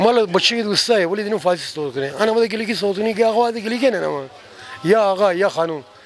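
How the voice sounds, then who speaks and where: Over noticeable background noise, a man speaks very fast at a high pitch with ordinary pitch variation. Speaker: passerby interviewee. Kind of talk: street interview.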